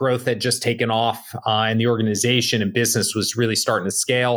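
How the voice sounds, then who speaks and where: Monotone and flat in intonation, the speaker uses an American accent at a fairly quick pace. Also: man. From New Jersey, Bergen County. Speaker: tech startup CEO and Marine veteran. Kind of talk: podcast interview. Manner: hesitant, many fillers.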